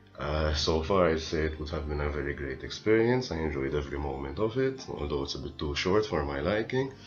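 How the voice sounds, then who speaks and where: A man with a very deep, low pitch talks fairly quickly with lively intonation and hardly any pauses, amid noticeable background noise and audible room echo. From Malta. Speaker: exchange student. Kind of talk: video testimonial.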